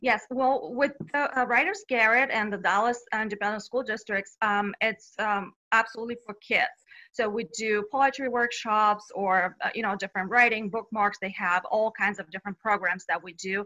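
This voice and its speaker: A woman with a Bulgarian accent, a fairly high pitch, a bright, sharp tone, ordinary pitch variation and a moderate pace. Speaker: children's author. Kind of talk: interview.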